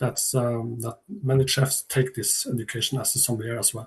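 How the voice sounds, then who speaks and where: In a Norwegian accent, a man speaks at a moderate pace. His voice is somewhat breathy. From Northern Norway. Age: 60s. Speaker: chef and sommelier. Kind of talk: online seminar talk. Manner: halting.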